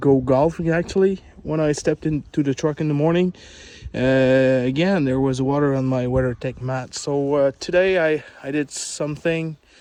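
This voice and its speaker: A man speaks with a fairly high pitch and fairly even intonation. His pace is moderate. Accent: French. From Quebec, Canada. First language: French. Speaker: truck owner vlogger. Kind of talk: casual video explanation. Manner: halting, many fillers.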